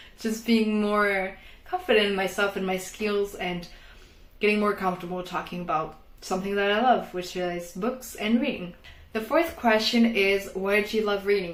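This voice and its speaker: A woman at medium pitch with a non-native accent and ordinary pitch variation, amid noticeable background noise and audible room echo. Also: moderate pace. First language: not English. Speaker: book vlogger. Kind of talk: casual vlog talk. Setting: bedroom at home.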